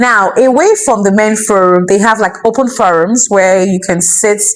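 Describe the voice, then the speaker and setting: A woman speaks with a Nigerian accent. Her pitch varies in an ordinary way. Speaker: vlogger and entrepreneur. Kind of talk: personal vlog talk to camera. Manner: casual, chatty with filler words.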